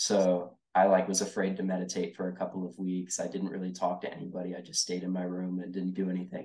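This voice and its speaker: With an American accent, a man speaks very fast with hardly any pauses. His very deep, low voice has a dark, mellow tone and a monotone, flat intonation. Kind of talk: casual chat.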